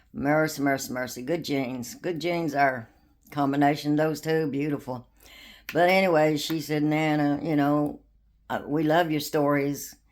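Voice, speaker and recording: In a very clean recording with a silent background, a woman speaks at a moderate pace with a very deep, low pitch. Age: old. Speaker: storyteller. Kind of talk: storytelling. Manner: laughs often; halting.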